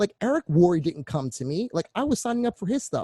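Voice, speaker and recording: A man with a dark, mellow tone talks at a fairly quick pace, his pitch swinging very widely. The sound is dry and close with no echo, over a quiet background. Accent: Philadelphia. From Philadelphia, US. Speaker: online marketing coach. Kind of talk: online course presentation. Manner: fast; animated.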